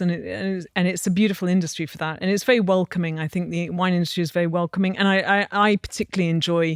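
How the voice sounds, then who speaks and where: A woman in an English accent at a very fast pace, monotone and flat, with a dry, close sound and no echo. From England. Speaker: wine industry entrepreneur. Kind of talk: interview conversation.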